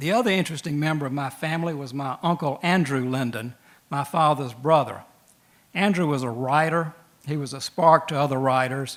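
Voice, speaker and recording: A man with a Southern US accent, fairly high pitch and fairly quick pace. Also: ordinary pitch variation. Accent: Southern US (Georgia). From Georgia, US South (Macon). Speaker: lawyer and storyteller. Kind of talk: storytelling. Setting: stage with audience.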